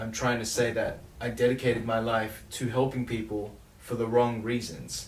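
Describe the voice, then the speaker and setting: A man at a medium pitch and moderate pace, with audible room echo. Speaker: songwriter vlogger. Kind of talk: casual vlog talk about songwriting.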